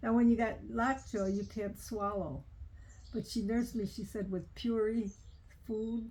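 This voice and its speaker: At a fairly slow pace, a woman talks with a fairly high pitch, a dark, mellow tone, fairly even intonation and some breathiness. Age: 90s. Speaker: elderly relative telling family stories. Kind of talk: casual family interview. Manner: halting.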